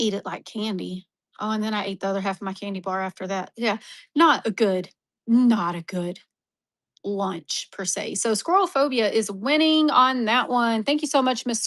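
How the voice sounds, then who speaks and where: A woman with an American accent has an unremarkable speaking voice at a medium pitch. She talks at a moderate pace with ordinary pitch variation on a very clean recording with a silent background. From Texas. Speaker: online mineral seller. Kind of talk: live-stream auction. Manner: casual, chatty.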